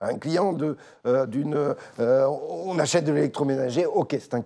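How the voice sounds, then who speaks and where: A man talks at a fairly slow pace with a fairly high pitch and ordinary pitch variation. His tone is dark and mellow, with vocal fry. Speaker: interview host. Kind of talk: interview.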